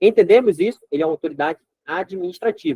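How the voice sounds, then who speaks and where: This man's voice is high-pitched, with a dark, mellow tone and lively intonation. He talks at a fairly quick pace, and the sound is dry and close with no echo. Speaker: law exam prep teacher. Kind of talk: lecture. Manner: fast; animated.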